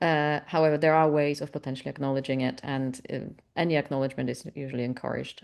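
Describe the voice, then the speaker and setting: Very fast speech with a Polish accent, fairly even intonation and a quiet background. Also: woman. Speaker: webinar moderator, membership staff. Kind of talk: webinar Q&A. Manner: halting, many fillers.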